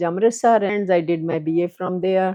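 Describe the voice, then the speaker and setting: A woman with a Punjabi Indian accent speaks at a moderate pace with a fairly low pitch and fairly even intonation. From Punjab, India (born near Lahore). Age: 80s+. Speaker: retired transit operator and former professor. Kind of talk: life story interview. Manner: hesitant, with many fillers.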